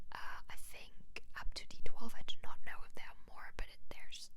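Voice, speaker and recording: A woman whispers over noticeable background noise. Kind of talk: ASMR whisper ramble. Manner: whispered, chatty.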